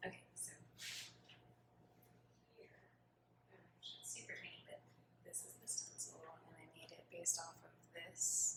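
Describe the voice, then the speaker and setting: Someone whispers at a moderate pace with long, frequent pauses and big swings in loudness. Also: woman. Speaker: ASMR creator playing a tattoo artist. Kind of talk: ASMR roleplay, soft-spoken personal attention. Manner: soft-spoken, friendly, slightly awkward.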